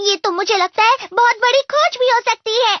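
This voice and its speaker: Someone performs a put-on character voice, extremely high in pitch, at a fairly quick pace. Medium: fan dub. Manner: knowledgeable, caring.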